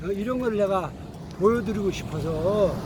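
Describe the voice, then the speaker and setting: The man's high-pitched voice shows ordinary pitch variation. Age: 70s. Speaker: vlogger. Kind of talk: casual vlog talk. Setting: outdoors riding a bicycle.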